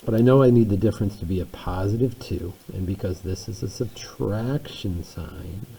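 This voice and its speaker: Very deep, low male speech against noticeable background noise. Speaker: math teacher. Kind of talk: tutorial.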